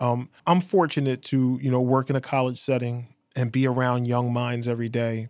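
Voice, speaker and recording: A man speaks in a normal speaking voice at a moderate pace. His medium pitch keeps a fairly even intonation. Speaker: radio station manager. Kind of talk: interview.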